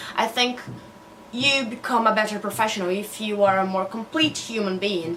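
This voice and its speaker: With a Portuguese accent, a woman of fairly high pitch speaks at a moderate pace with ordinary pitch variation over noticeable background noise. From Brazil. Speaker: newly qualified doctor and book vlogger. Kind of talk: casual vlog monologue.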